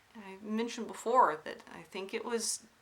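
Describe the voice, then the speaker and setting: Noticeable background noise behind a woman's voice with an American accent. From US South, Alabama then North Carolina. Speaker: craft vlogger. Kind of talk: casual vlog monologue. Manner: hesitant, many fillers.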